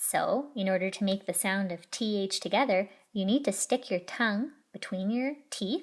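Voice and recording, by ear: The speaker, reading aloud in a natural voice, shows ordinary pitch variation.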